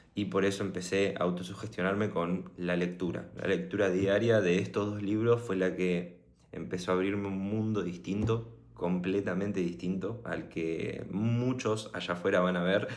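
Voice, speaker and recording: A man with a Rioplatense accent talks at a moderate pace and a fairly low pitch. His intonation is fairly even, and room echo is audible. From Argentina, Buenos Aires. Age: 20s. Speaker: motivational vlogger. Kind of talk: personal story monologue. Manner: casual, hesitant with fillers.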